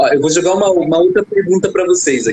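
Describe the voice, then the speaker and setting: Over noticeable background noise, a man speaks in a high pitch with very wide pitch swings. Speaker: sports psychologist. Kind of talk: live stream host.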